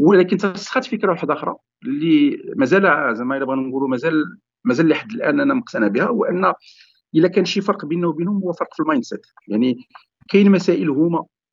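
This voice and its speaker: A man speaks at a very fast pace in a high voice. His pitch swings very widely. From Morocco, Sefrou. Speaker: digital transformation consultant and entrepreneur. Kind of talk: podcast interview. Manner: halting.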